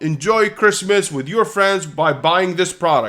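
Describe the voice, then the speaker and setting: This man speaks with a non-native accent at a moderate pace, using ordinary pitch variation. The recording is very clean, with a silent background. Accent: foreign. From Kuwait. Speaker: online business coach. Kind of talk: live Q&A. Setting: livestream.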